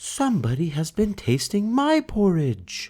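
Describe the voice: A man does a put-on character voice, pitched high with very wide pitch swings. He goes at a fairly slow pace on a very clean recording with a silent background.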